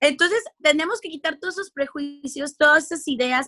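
A woman speaks in a raised, projected voice with a Mexican accent. Her intonation is lively, and the sound is dry and close with no echo. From Mexico. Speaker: radio and television communicator. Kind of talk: casual interview chat.

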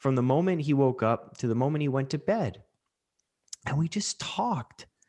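A man speaks at a medium pitch. He has a Canadian accent. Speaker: podcast host and mental health coach. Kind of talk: casual chat, podcast conversation.

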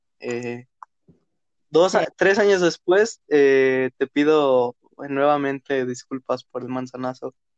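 With a Mexican accent, a man talks at a very slow pace in a fairly high voice with ordinary pitch variation, the sound dry and close with no echo. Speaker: podcast host. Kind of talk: casual chat. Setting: studio.

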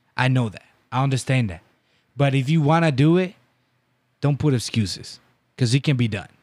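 A man with a Dominican accent at medium pitch, lively intonation and a fairly quick pace broken by long, frequent pauses, on a very clean recording with a silent background. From Dominican Republic. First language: Spanish. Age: 20s. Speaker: baseball coach and business owner. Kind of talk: casual interview chat. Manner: loud.

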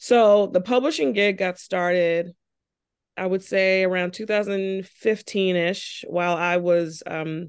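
Against a quiet background, a woman with an American accent and an unremarkable speaking voice talks at a fairly low pitch with fairly even intonation. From Charleston, South Carolina. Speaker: family physician. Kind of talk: interview.

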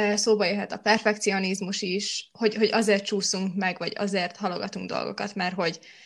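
Heard in a very clean recording with a silent background, a woman is speaking. Her intonation is monotone and flat. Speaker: podcast host, student. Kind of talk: casual chat podcast. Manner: chatty, laughs.

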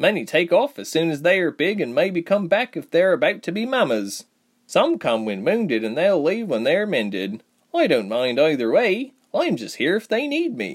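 A man puts on a character voice pitched high. He speaks at a moderate pace. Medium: audio drama. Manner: easygoing, happy, chatty.

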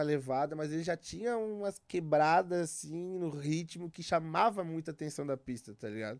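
A man with an unremarkable speaking voice talks at a moderate pace and a fairly high pitch, with ordinary pitch variation. The recording is very clean, with a silent background. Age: 30s. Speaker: psytrance DJ and producer. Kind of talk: casual chat. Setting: studio.

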